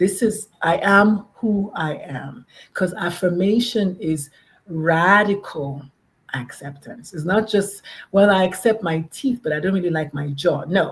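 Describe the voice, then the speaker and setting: A woman speaks at a medium pitch, somewhat breathy. Her tone is animated and her intonation lively. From Nigeria. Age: 50s. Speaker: pediatrician and parent advocate. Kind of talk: podcast interview.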